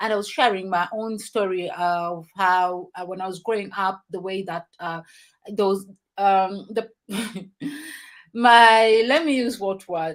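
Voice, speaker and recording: A woman's medium-pitched voice at a fairly slow pace, with ordinary pitch variation and long, frequent pauses. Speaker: talk show host. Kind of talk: casual chat.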